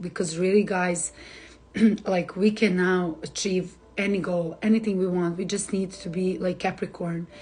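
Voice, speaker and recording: A woman with a Serbian accent at medium pitch, flat and monotone, at a fairly slow pace. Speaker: astrologer. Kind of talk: live stream forecast. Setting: Instagram live stream. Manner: hesitant, many fillers.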